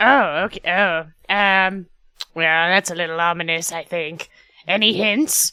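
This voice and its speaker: Putting on a character voice, a woman speaks at a fairly low pitch and a moderate pace, with long, frequent pauses. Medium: actual play. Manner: rambling, hesitant, filler-heavy.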